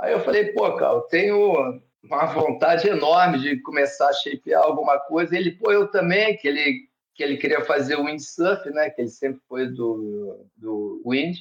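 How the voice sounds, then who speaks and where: A man uses a normal speaking voice with lively intonation at a moderate pace. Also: fairly high pitch for a man. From Brazil, Rio de Janeiro. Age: 60s. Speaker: surfboard shaper. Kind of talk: podcast interview.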